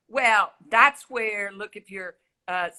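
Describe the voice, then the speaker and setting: A woman's voice with a Southern US accent. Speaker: health expert guest on a talk show.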